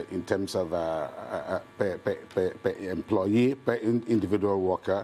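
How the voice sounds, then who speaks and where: Music plays in the background as a man speaks very slowly. His voice is fairly low, with ordinary pitch variation. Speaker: guest. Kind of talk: interview answer. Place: studio.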